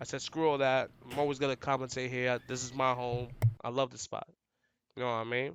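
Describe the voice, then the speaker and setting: Flat, monotone intonation runs through this man's speech in a New York accent. His pace is fairly quick. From New York City, the Bronx. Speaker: fighting game commentator and player. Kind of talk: casual podcast interview. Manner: loud, outgoing.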